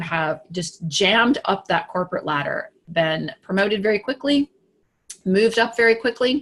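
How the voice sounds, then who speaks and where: A woman speaks at a moderate pace in a medium pitch, sounding somewhat breathy with lively intonation. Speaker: business coach for women. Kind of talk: live broadcast talk to camera. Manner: animated; halting, with fillers and repeats.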